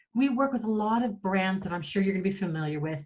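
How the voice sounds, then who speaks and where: A somewhat breathy voice with an American accent and lively intonation. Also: woman. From United States. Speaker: digital marketing agency owner, workshop presenter. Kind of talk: webinar presentation. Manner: fast-paced.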